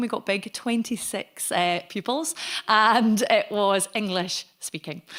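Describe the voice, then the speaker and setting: A woman in a West Highland Scottish accent, bright and sharp in tone, fairly high in pitch, with lively intonation at a fairly slow pace. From Scotland, Argyll (Connel near Oban). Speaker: Gaelic singer and language advocate. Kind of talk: lecture.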